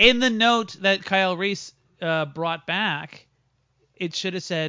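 A man with a high pitch talks at a very slow pace with ordinary pitch variation. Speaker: stand-up comic and podcast host. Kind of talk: casual chat. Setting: video store, recorded live with drinks.

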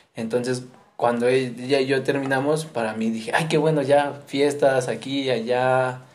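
The delivery is monotone and flat at a fairly slow pace. Audible room echo fills the recording. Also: man. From Mexico City. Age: 20s. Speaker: missionary. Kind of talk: casual interview.

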